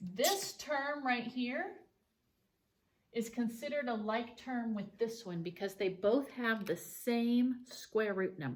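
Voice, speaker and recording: The speech moves at a very slow pace, with lively intonation. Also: woman. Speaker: math teacher. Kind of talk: tutorial.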